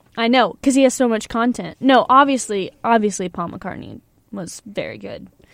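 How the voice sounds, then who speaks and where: This woman has a plain, everyday voice, moving at a moderate pace with ordinary pitch variation and big swings in loudness. Her recording is very clean against a silent background. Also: fairly high pitch for a woman. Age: 20s. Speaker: college radio host. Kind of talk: casual chat. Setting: studio.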